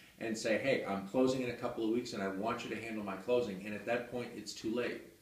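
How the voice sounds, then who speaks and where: In an American accent, a man speaks with monotone, flat intonation. Audible room echo surrounds his voice. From New Hampshire, US (Hudson, near Nashua); New Hampshire. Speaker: real estate attorney. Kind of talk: promotional monologue to camera. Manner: halting, many fillers. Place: office. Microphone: camera far.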